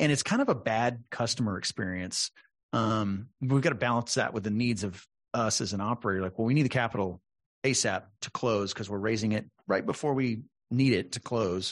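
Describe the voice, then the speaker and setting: Against a quiet background, a man with an American accent talks at a fairly quick pace with ordinary pitch variation. His medium-pitched voice is an unremarkable speaking voice. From Texas, San Antonio. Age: 40s. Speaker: podcast host. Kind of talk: interview.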